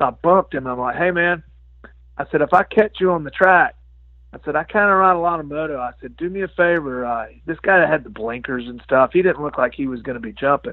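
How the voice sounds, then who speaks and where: In an ordinary speaking voice, a man talks at a fairly quick pace and fairly high pitch, with ordinary pitch variation. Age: 50s. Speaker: amateur motocross racer. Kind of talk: casual chat.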